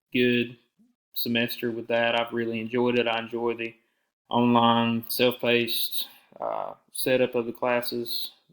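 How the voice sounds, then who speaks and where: On a very clean recording with a silent background, a man with a Southern US accent speaks at a fairly slow pace, his medium pitch held in a monotone, flat intonation. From US South, south Georgia (Alma). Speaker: university student. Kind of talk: self-introduction to a professor. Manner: casual with fillers.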